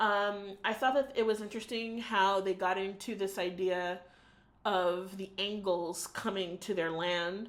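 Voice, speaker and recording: A normal speaking voice from a woman with an American accent, medium in pitch, fairly slow, with fairly even intonation. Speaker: book reviewer. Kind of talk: video book review monologue. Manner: casual, with frequent fillers.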